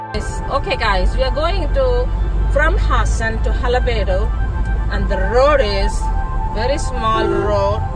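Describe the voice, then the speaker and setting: A woman speaks at a very slow pace with clear music in the background. The sound is dry with no echo. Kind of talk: casual vlog chat. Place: car. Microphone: phone near.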